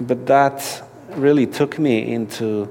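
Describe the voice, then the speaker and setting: A man speaks with a Polish accent and fairly even intonation. Noticeable background noise sits behind him. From Poland. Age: 40s. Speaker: activist and spiritual director. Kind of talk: interview. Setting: at a conference.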